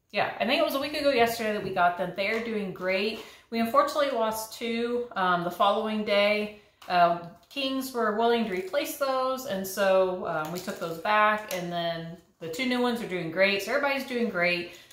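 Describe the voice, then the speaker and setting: Audible room echo surrounds a woman speaking at a moderate pace. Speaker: home cook vlogger. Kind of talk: casual vlog chat. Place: kitchen. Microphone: camera far.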